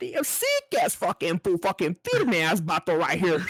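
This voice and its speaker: The voice is a put-on character voice. It stays at a middle pitch. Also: moderate pace. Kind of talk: crude street slang. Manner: mocking, exaggerated.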